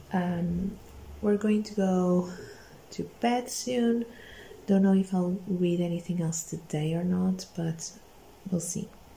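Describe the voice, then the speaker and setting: A quiet, somewhat breathy woman's voice with a dark, mellow tone, fairly even intonation, a very slow pace and long, frequent pauses, over light background noise. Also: medium pitch for a woman. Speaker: booktuber vlogger. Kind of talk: casual vlog talk to camera. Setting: at home. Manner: quiet, hushed at night. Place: home room. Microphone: phone near.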